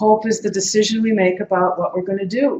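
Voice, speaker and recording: A woman speaks at a medium pitch and a fairly quick pace. Her voice is somewhat breathy, with fairly even intonation. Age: 60s. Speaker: activist speaker. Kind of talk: lecture.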